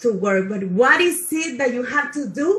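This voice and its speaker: A woman with a non-native accent, high-pitched, with lively intonation. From South Africa. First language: not English. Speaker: motivational speaker, chemist. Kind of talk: motivational talk on online panel. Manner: halting, self-correcting.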